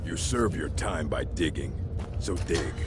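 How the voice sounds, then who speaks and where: A put-on character voice at a fairly slow pace over loud background noise. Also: man. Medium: machinima. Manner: sneering.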